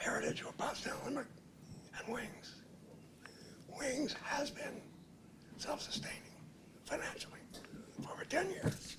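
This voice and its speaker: Someone whispers at a moderate pace, leaving long, frequent pauses, while noticeable background noise carries on. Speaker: public commenter at county meeting. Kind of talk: public comment statement.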